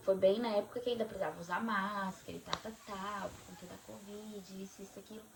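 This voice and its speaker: A woman talks at a fairly quick pace and a medium pitch. Noticeable background noise runs underneath. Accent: Brazilian. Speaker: vlogger. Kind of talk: casual chat.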